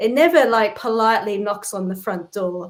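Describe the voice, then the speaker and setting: A woman with an Australian accent talks at a moderate pace, her pitch medium and its variation ordinary. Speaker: spiritual practitioner. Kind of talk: interview.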